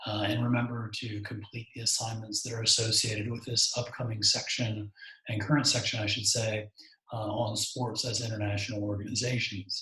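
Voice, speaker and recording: A man's medium-pitched, monotone, flat voice at a fairly quick pace, with noticeable background noise. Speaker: university lecturer. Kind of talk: lecture. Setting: home recording. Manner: soft-spoken; halting.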